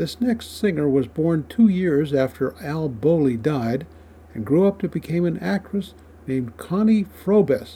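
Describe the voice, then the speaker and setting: Very wide pitch swings mark a man's somewhat breathy voice with a dark, mellow tone. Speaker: radio host. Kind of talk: scripted narration.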